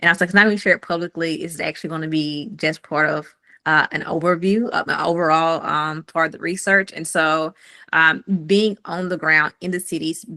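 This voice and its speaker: Against a quiet background, a woman with a Southern US accent speaks fairly quickly in a bright, sharp tone with fairly low pitch and fairly even intonation, the sound dry and close with no echo. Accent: country Southern US. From US South, rural Mississippi near Jackson. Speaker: fintech founder and researcher. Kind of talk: community call presentation.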